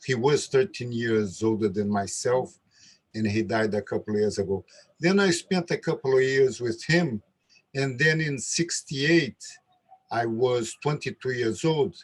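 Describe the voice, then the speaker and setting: Somewhat breathy, a man with a Brazilian Portuguese accent talks at medium pitch with lively intonation. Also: fairly slow pace. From Brazil, Rio de Janeiro. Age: 70s. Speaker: capoeira master. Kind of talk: casual chat. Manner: halting.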